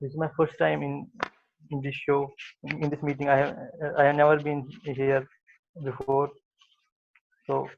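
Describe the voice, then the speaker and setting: Pausing long and often, a man speaks at a fairly slow pace in a fairly high pitch with monotone, flat intonation. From Kashmir, India. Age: 20s. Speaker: speech contest participant. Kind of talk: prepared speech. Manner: halting, with blocks and repetitions.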